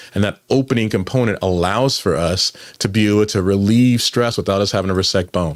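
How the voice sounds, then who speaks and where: A man speaks with a fairly low pitch. His intonation is fairly even. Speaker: physician explaining spine treatments. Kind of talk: educational explainer with slides. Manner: fast.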